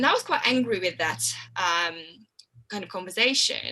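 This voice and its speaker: Speaking at a fairly quick pace with a Hungarian accent, a woman has a bright, sharp tone with vocal fry and ordinary pitch variation. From Hungary. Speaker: health coach. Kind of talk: interview.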